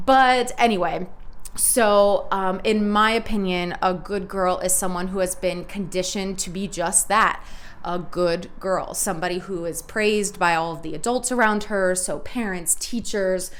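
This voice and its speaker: The speech moves at a moderate pace with ordinary pitch variation. Room echo can be heard. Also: woman. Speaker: podcast host. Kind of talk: casual solo podcast monologue. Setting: home recording with cat present. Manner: loud; chatty, many fillers.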